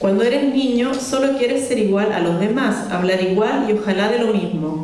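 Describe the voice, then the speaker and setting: Over noticeable background noise and audible room echo, a woman talks at a moderate pace with fairly high pitch. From Italy, of Chilean parents. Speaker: novelist. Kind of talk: reading a prepared talk.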